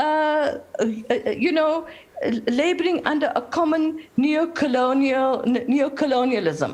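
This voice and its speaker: At a very slow pace, a woman speaks in a high pitch with very even loudness. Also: ordinary pitch variation. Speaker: activist. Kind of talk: panel talk. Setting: video call. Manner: animated.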